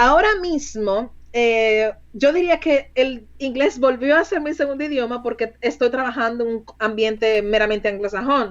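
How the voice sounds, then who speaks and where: The pace is fairly slow, with hardly any pauses. Pitch variation is ordinary. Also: woman, high pitch for a woman. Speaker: recruiter. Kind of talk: interview.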